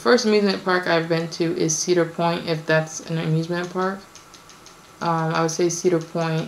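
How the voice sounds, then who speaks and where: With noticeable background noise and audible room echo around it, the speech keeps a fairly even intonation. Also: woman, fairly low pitch for a woman, moderate pace. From born in Kenya, raised in the US. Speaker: vlogger. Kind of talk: casual Q&A vlog. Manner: hesitant, many fillers.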